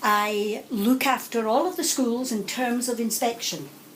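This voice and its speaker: A woman with a Scottish accent, plus audible room echo and noticeable background noise. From Scotland, Glasgow. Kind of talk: answering pupils' questions in a school. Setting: school classroom.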